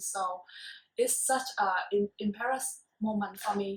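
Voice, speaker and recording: With a non-native accent, a woman talks at a fairly slow pace in a medium pitch. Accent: non-native pronunciation. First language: not English. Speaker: student. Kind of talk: casual talk show discussion.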